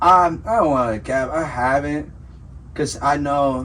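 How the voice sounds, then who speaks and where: Lively intonation marks this man's moderate-paced speech, heard with audible room echo. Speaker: podcast host. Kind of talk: casual chat. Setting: studio. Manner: casual, halting with fillers.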